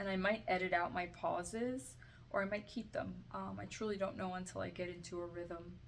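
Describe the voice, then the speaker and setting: A soft-spoken woman talks at a fairly quick pace. Room echo is audible. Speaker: self-help video creator. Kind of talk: tutorial. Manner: halting.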